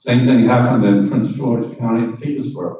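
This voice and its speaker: Somewhat breathy, a man speaks at a moderate pace and medium pitch with ordinary pitch variation, and audible room echo can be heard. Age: 80s+. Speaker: resident speaking at public comment. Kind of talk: public comment at county board meeting.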